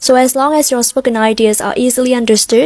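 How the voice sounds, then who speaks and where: A woman with an American accent talks at a high pitch and a fairly quick pace. Her intonation is fairly even, and the sound is dry and close with no echo. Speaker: English pronunciation tutor. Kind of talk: tutorial. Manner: clear.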